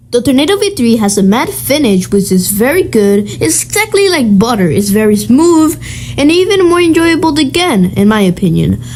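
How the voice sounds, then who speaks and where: Against noticeable background noise, a woman with a fairly high pitch speaks at a moderate pace, her loudness very even while her pitch swings very widely. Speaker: cubing YouTuber. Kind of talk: tutorial.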